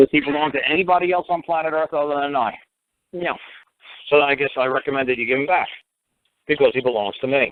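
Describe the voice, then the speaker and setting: Talking very fast but with long, frequent pauses, a man with an American accent and a fairly high pitch uses ordinary pitch variation. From New York City, Bronx. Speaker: common law talk show host. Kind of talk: call-in radio advice. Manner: animated.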